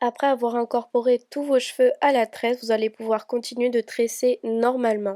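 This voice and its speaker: Over a silent background in a very clean recording, a woman speaks at a moderate pace with a high pitch, a dark, mellow tone and monotone, flat intonation. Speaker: hair tutorial youtuber. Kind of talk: tutorial voice-over.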